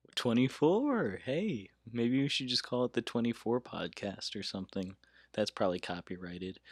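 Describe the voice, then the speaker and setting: A plain, everyday voice with lively intonation at a fairly slow pace, dry and close with no echo, on a very clean recording with a silent background. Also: man, medium pitch for a man. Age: 20s. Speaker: podcast host and law student. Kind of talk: casual chat. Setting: studio.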